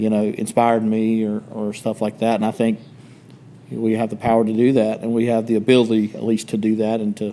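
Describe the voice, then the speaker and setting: In a Southern US accent, a man of medium pitch talks fairly quickly in a dark, mellow tone with monotone, flat intonation. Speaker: podcast co-host. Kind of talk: casual chat.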